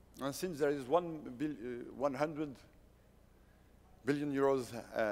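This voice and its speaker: Fairly high in pitch, a man delivers his words at a moderate pace with fairly even intonation. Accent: French. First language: French. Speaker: company founder and CEO. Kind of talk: conference presentation. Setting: stage at a conference. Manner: halting, many fillers and restarts.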